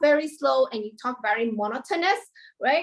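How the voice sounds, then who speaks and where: High-pitched and moderately paced, a woman speaks with ordinary pitch variation. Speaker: lecturer. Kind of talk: lecture. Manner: animated.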